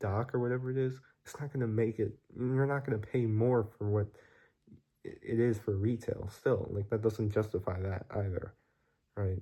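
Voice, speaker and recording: A man's somewhat breathy, dark, mellow voice at medium pitch, moderate pace and fairly even intonation, on a very clean recording with a silent background. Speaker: vlogger. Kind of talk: casual vlog monologue. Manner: casual, filler-heavy.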